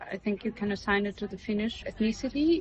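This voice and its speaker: With a Russian accent, a woman speaks at a fairly quick pace. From Russia (Karelia region). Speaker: media artist. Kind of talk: interview. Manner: halting, many fillers.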